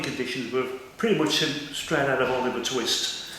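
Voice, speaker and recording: A man speaks at a medium pitch. Audible room echo and noticeable background noise are present. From West Midlands, England (Birmingham). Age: 60s. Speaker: glass slide maker. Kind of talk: interview. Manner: hesitant, many fillers.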